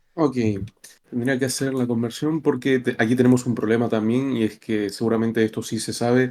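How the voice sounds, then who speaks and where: Dark and mellow in tone, a man speaks at a medium pitch and a fairly quick pace. His intonation is flat and monotone. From Argentina, Buenos Aires. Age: 20s. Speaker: interviewee from Argentina. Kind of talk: interview.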